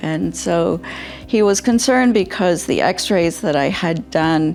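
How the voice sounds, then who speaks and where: Music plays in the background as a woman speaks with a very deep, low pitch. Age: 70s. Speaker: scoliosis surgery patient. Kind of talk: patient testimonial interview answer.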